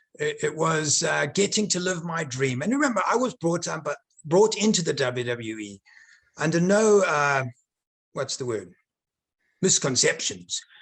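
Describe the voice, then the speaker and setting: Taking long, frequent pauses, a man speaks at a moderate pace in a high pitch with very wide pitch swings. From South Africa. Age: 40s. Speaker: former professional wrestler. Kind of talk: interview.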